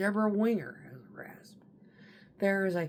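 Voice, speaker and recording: This woman talks at a fairly slow pace. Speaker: online commentator. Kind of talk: casual monologue. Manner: animated.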